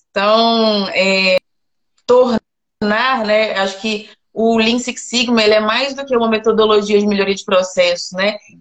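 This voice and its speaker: Speaking at a fairly slow pace, a woman uses a normal speaking voice with a fairly high pitch and fairly even intonation. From Minas Gerais, Belo Horizonte. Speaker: mining engineer, process improvement specialist. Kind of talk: interview.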